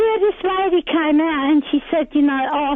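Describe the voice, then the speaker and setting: Noticeable background noise fills the clip. Through it, a woman talks. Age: 70s. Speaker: caller. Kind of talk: radio call-in. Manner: halting.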